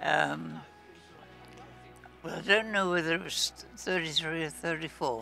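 There is faint music in the background as a man talks at a fairly slow pace with long, frequent pauses, in a dry sound with no echo. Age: 80s+. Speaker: football fan. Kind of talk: interview answer. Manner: brief, terse. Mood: reflective, recalling the past. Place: stadium. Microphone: handheld.

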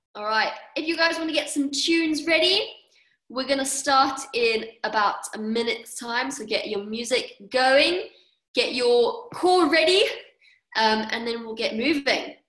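Over a quiet background, the voice is bright, sharp and upbeat in tone, with lively intonation, a fairly slow pace and audible room echo. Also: woman, high pitch for a woman. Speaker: fitness coach; fitness instructor. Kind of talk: online workout class instruction. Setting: video call. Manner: upbeat, encouraging. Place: home room. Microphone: webcam.

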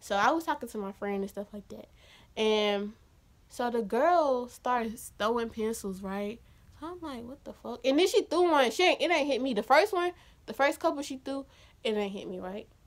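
A woman speaks in a high pitch with an animated tone and lively intonation. Her loudness swings widely. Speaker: YouTuber telling storytime. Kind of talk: angry rant, animated storytelling. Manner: loud, heated, sassy, fast, animated. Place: home room. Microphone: phone near.

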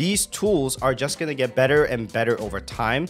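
A man talks at a moderate pace. Music sounds faintly behind him. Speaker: tech content creator. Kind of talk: casual vlog commentary. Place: home room. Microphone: studio mic.

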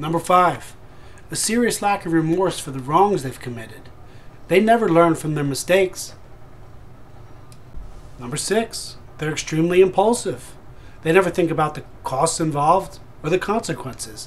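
A man talks at a high pitch with ordinary pitch variation. His loudness swings a lot, and he takes long, frequent pauses. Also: moderate pace. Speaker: relationship advice vlogger. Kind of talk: short tips talk to camera. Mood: serious, warning. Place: home room. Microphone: webcam.

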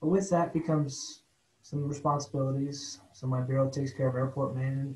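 A dark, mellow, somewhat breathy voice speaks with an American accent. The pace is moderate. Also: man. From Ohio. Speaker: airport bureau chief, former airline pilot. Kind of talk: meeting presentation.

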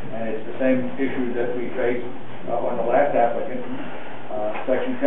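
In a room with audible echo and noticeable background noise, a man talks at a fairly quick pace with monotone, flat intonation. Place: hall. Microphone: camera far.

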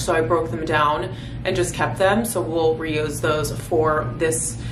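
With noticeable background noise, a woman speaks at a fairly low pitch with ordinary pitch variation. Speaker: lifestyle vlogger. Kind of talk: casual vlog chat. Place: home room. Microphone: phone near.

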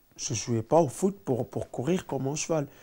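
A man speaks in a dark, mellow tone. His pitch varies in an ordinary way. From Senegal, Dakar suburbs; Senegal. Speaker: professional footballer; interviewee. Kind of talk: interview. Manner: halting, many repetitions. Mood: relaxed, storytelling. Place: home room.

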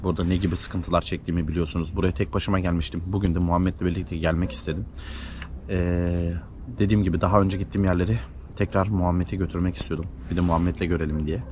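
The speech comes at a very fast pace with ordinary pitch variation. The sound is dry with no echo, over noticeable background noise. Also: man. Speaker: paranormal vlogger. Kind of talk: casual vlog narration. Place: open country.

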